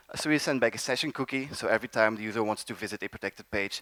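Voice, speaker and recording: A man talking at a very fast pace, the sound dry and close with no echo. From Belgium. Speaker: developer evangelist, conference speaker. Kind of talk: conference talk. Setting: stage with audience.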